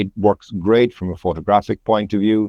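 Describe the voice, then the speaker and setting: A man speaks in a Cork accent at a fairly low pitch. His pace is moderate. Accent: Cork Irish. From Ireland, County Cork. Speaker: landscape photographer. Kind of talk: podcast interview.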